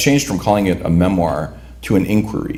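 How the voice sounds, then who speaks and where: In a Chicago accent, a man speaks at a fairly low pitch with audible room echo. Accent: Chicago American English. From Cicero, Illinois (Chicago area), Lithuanian immigrant community. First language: Lithuanian. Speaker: writer. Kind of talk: talk introducing a reading. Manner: halting, many repeated words.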